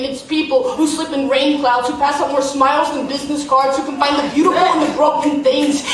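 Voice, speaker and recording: Noticeable background noise sits behind a woman with a high pitch. She talks at a fairly quick pace. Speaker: slam poet. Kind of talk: live slam poetry performance. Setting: live on stage in a theater.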